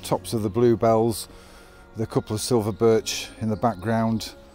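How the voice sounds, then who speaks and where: A man talks at a fairly slow pace. The sound is dry with no echo, and faint music plays in the background. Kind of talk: tutorial commentary. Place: forest.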